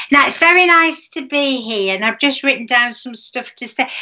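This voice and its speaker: Against a quiet background, a woman's raised, projected voice rings with a bright, sharp tone at a high pitch. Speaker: comedian. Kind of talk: character stand-up comedy. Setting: video call. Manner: chatty, folksy housewife rambling with malapropisms. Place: home room. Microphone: webcam.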